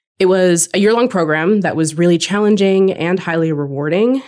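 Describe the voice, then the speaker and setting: On a very clean recording with a silent background, a woman with an American accent speaks fairly quickly in an unremarkable speaking voice, fairly low in pitch with ordinary pitch variation. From California. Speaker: university writer and podcast host. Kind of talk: casual podcast conversation.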